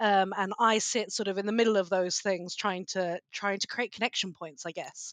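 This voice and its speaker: With a British accent, a woman speaks at a moderate pace with ordinary pitch variation and hardly any pauses, in a dry, close sound with no echo over a quiet background. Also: medium pitch for a woman. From Britain. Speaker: cybersecurity policy expert. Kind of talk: podcast interview.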